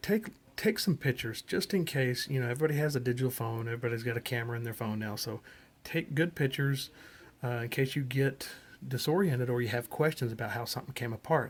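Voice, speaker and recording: Soft-spoken and somewhat breathy delivery at a very fast pace, with ordinary pitch variation, in a very clean recording with a silent background. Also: man, medium pitch for a man. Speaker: ham radio hobbyist. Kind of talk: tutorial. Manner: casual, hesitant with fillers.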